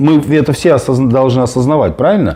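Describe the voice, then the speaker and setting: Noticeable background noise runs through the clip. A man speaks with ordinary pitch variation. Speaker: political activist. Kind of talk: heated debate. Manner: halting, many fillers.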